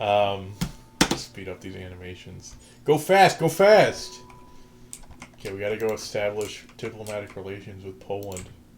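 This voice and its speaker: Moderate pace with long, frequent pauses, music playing in the background. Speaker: gaming streamer. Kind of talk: gameplay commentary. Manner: animated.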